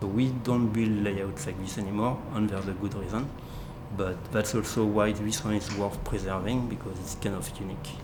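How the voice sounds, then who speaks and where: Over noticeable background noise and audible room echo, a man with a fairly low pitch talks at a moderate pace. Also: fairly even intonation. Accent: French. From France. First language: French. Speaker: museum layout volunteer and automation programmer. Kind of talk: documentary interview.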